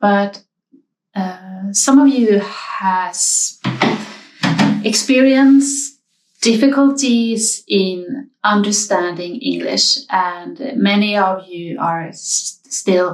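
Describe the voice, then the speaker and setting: Somewhat breathy, a woman at medium pitch speaks with lively intonation. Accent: Swedish. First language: Swedish. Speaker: knitting podcaster. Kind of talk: casual talk to viewers. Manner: hesitant, many fillers.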